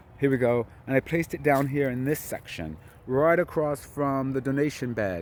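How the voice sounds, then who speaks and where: This is a man at medium pitch. His pace is moderate. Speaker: gardening vlogger. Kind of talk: casual video walkthrough. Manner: hesitant fillers.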